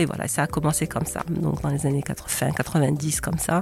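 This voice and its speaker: A woman's very deep, low voice comes through noticeable background noise. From Morocco. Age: 60s. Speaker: essayist and retired doctor. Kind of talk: interview. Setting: in person.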